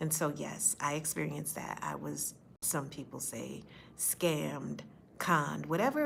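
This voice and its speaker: The pace is moderate. A woman's voice carries audible echo from the room. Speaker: faith-based speaker sharing personal story. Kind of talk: personal testimony. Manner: occasional stutter; earnest, direct.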